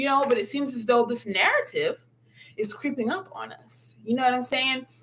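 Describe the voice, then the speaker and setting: A woman's high-pitched voice in an animated tone. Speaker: spiritual content creator. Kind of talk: livestream monologue. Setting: live video stream.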